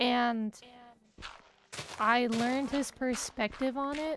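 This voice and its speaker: A loud, high-pitched woman's voice. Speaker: streamer. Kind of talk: casual chat.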